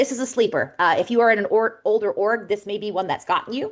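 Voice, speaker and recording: The background is quiet. A woman talks at a very fast pace. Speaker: software architect. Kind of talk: webinar presentation.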